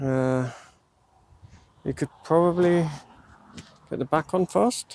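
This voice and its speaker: Mumbling at a very slow pace, a man speaks in a fairly high pitch with ordinary pitch variation, the sound dry and close with no echo. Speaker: DIY hobbyist vlogger. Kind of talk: casual talk to camera while working. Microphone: new mic on trial.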